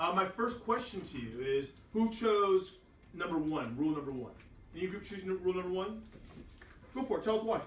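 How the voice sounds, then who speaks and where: A loud, high-pitched man at a fairly quick pace, lively intonation, long, frequent pauses and audible room echo. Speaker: teacher. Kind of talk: classroom lesson. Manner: animated.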